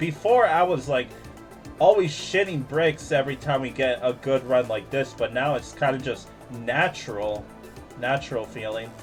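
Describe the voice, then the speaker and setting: With music in the background, a man's medium-pitched voice varies in pitch in an ordinary way. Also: moderate pace. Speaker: streamer. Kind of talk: gaming commentary. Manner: casual, reacting.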